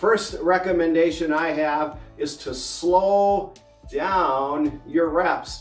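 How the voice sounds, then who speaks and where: A man's high-pitched voice over music in the background. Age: 60s. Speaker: fitness and health advice host. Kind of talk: casual instructional talk to camera.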